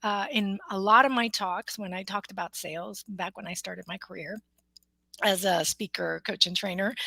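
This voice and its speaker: Vocal fry runs through this woman's speech, delivered at a moderate pace with fairly even intonation. Her loudness swings widely, and the sound is dry and close with no echo. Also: medium pitch for a woman. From US, Mexican American family. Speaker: motivational speaker, coach and author. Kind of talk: interview about her book.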